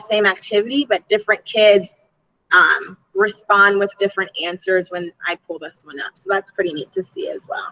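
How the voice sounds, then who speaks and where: A woman's fairly high, bright and sharp voice at a moderate pace, with ordinary pitch variation and a dry, close sound with no echo. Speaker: elementary PE teacher. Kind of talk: online presentation.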